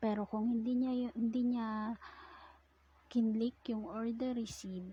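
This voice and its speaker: A woman's somewhat breathy voice comes out at a very slow pace. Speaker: online seller. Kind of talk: casual tutorial talk over screen recording.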